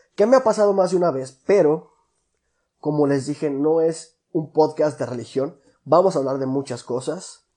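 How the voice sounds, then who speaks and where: This voice has a Mexican accent and a dark, mellow tone. It moves at a moderate pace with ordinary pitch variation. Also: man, fairly high pitch for a man. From Mexico, La Piedad, Michoacán. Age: 20s. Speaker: podcast host. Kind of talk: casual monologue. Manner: casual, slangy.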